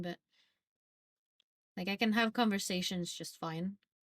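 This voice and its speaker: A woman with a Norwegian accent speaks at medium pitch with lively intonation. The sound is dry and close, with no echo. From Norway. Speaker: streamer. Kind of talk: casual chat. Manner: casual, filler-heavy.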